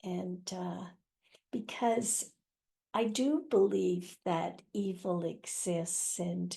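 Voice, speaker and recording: This woman talks at a very slow pace in a somewhat breathy, dark, mellow tone, her medium pitch showing ordinary variation. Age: 80s+. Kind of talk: interview answer.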